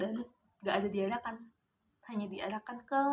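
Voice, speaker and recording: At a moderate pace, a woman is talking. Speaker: vlogger. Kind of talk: casual vlog monologue.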